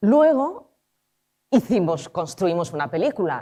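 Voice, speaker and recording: A woman's dark, mellow voice moves through very wide pitch swings. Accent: Spanish. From Argentina, raised in Spain. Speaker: film director and screenwriter. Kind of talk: talk at a conference. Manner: informal, with frequent fillers.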